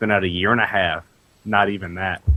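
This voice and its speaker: A man with an unremarkable speaking voice talks at a moderate pace, his pitch fairly low. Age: 20s. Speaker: games journalist. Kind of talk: casual chat. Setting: podcast recording.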